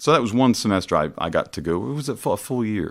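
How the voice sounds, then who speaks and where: A man talks at a very fast pace with ordinary pitch variation in a very clean recording with a silent background. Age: 50s. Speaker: opera singer. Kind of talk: casual chat.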